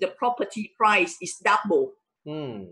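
At a moderate pace, a woman talks in an ordinary speaking voice of medium pitch. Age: 40s. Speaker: entrepreneur and wealth coach. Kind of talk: casual interview. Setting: live stream.

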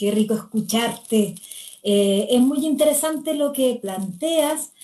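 At a very slow pace, a woman speaks in a dark, mellow tone that is somewhat breathy, keeping her loudness very even. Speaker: constitutional assembly candidate and moderator. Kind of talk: moderated panel discussion. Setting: video call.

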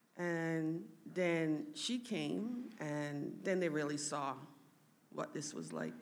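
Very slow speech from a woman, with room echo clearly heard. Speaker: daughter sharing family testimony. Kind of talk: testimony. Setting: church stage with audience. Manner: halting.

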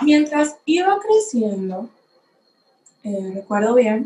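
A woman speaks in a somewhat breathy voice. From Dominican Republic. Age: young. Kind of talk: personal testimony.

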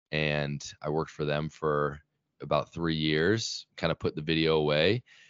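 This man speaks with a Utah accent. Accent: American (Utah). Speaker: YouTube creator on religion. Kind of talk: casual interview.

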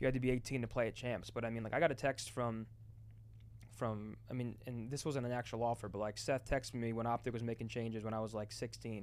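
A man with an American accent speaks at a very fast pace, using medium pitch and fairly even intonation. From New Jersey. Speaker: retired esports player and content creator. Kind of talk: casual chat. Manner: fast, repetitive false starts.

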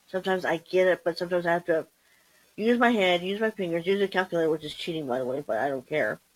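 Lively intonation runs through a woman's fairly low-pitched voice. She speaks at a very fast pace. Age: 50s. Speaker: solo podcaster. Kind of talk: casual monologue. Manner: hesitant, many ums.

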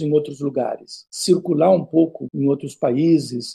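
The voice here is a man's. It carries a dark, mellow tone. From southern Brazil. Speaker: history professor. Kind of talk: interview. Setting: video call.

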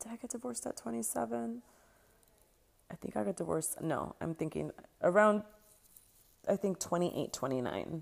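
This voice has an American accent, vocal fry and very wide pitch swings, moving at a moderate pace with long, frequent pauses. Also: woman, very deep, low pitch for a woman. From US West Coast, Los Angeles (San Fernando Valley). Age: 30s. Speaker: sex educator and coach, podcast host. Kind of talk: personal storytelling monologue.

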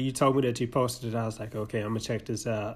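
Somewhat breathy, a man speaks at a medium pitch. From Arkansas. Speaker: podcast co-host. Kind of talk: casual chat.

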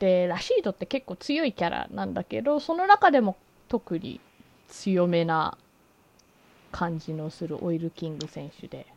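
A woman speaks at a fairly slow pace, her loudness swinging widely. The sound is dry and close, with no echo. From Japan. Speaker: podcast host. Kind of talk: casual chat. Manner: animated.

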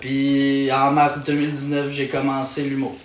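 The man's voice comes through audible room echo and noticeable background noise. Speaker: stand-up comedian. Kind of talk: casual chat. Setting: at his home.

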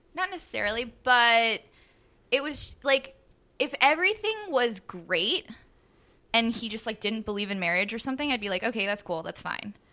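A woman projects a raised voice in a bright, sharp tone at a moderate pace, with very wide pitch swings and long, frequent pauses. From Maryland, US. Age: 30s. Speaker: stand-up comedian. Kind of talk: casual chat.

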